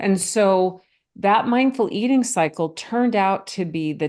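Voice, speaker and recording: A woman speaks at medium pitch and a fairly slow pace in a normal speaking voice. The background is quiet. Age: 60s. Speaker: physician and mindful eating author. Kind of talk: podcast interview.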